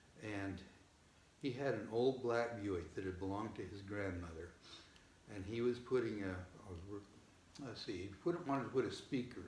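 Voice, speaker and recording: A somewhat breathy voice at a moderate pace. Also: man. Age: 70s. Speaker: father of seven. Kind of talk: interview answer.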